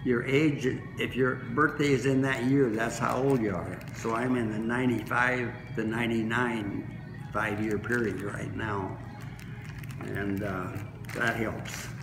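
Clear music plays in the background. The speaker talks at a fairly slow pace. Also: man, medium pitch for a man, fairly even intonation. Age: 90s. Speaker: masters swimmer. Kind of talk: interview; interview answer. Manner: halting. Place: hall. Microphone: phone near.

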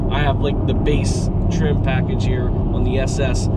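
Loud background noise fills the recording. A man speaks with a dry sound with no echo. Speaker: car vlogger driving. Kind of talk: casual vlog chat. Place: car. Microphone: phone near.

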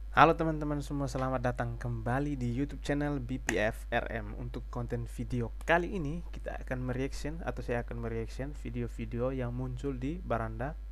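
A man with a very deep, low pitch and monotone, flat intonation, at a moderate pace with hardly any pauses, over light background noise. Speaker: reaction video host. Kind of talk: casual vlog chat. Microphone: headset.

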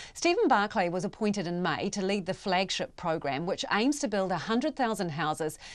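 With a New Zealand accent, a woman speaks at a moderate pace, her pitch swinging very widely. The background is quiet. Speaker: news presenter. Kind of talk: news reading. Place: studio.

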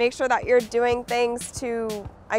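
With music in the background, a woman speaks at a fairly slow pace in a high voice. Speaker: basketball player. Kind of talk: casual tutorial talk to camera.

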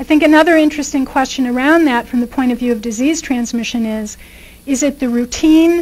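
Her pitch high with ordinary variation, a woman talks at a fairly quick pace. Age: 50s. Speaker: professor; guest lecturer. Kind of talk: lecture. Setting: stage with audience. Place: hall. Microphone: podium.

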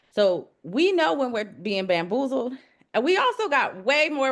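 Against a quiet background, a woman speaks at a moderate pace with an American accent. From US South, Georgia (DeKalb). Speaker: city council candidate; executive coach. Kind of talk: candidate interview.

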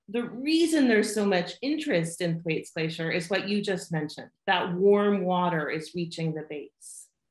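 A woman's fairly slow speech against a quiet background, with audible room echo. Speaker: remote interviewee. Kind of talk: interview answer. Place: home room. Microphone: video call.

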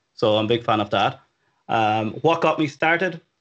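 Over a quiet background, a man with an Irish accent speaks at a moderate pace in a bright, sharp tone with ordinary pitch variation. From Ireland, Dublin. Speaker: web developer, company CTO, freelancer. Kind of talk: interview, casual advice. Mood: relaxed, friendly. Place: home room. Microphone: studio mic.

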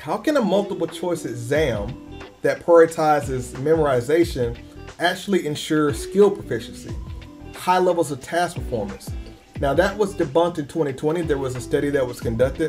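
A man at a moderate pace over clear music in the background. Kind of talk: lecture. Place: home room.

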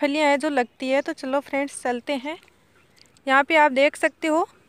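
A woman with a high pitch speaks at a fairly slow pace with fairly even intonation, and the sound is dry with no echo. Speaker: farm vlogger. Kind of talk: casual vlog chat. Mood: cheerful, smiling. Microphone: phone near.

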